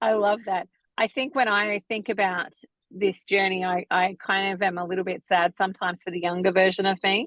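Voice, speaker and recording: Here a woman has an ordinary speaking voice at a medium pitch. She moves at a fairly quick pace with fairly even intonation. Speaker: naturopath and podcast host. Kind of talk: podcast interview.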